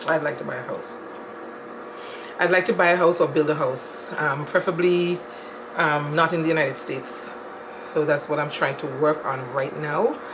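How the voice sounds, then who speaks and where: A woman with a very deep, low voice talks at a moderate pace with ordinary pitch variation and long, frequent pauses, over noticeable background noise in a room with audible echo. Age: 60s. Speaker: interviewee, mother of the channel owner. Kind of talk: casual interview. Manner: hesitant, many fillers. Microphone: audio issues.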